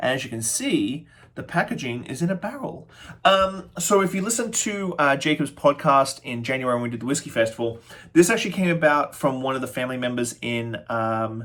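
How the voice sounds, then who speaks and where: Fairly high for a man, this voice moves at a fairly quick pace with lively intonation. He speaks with an Australian accent. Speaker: spirits reviewer, bartender. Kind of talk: product review tasting. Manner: fast; casual, halting with fillers.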